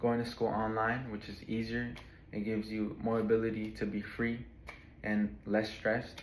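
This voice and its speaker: This man talks at a medium pitch in a flat, monotone way. Audible room echo surrounds his voice. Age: 20s. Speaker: college student. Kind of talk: class speech. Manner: casual, some hesitations.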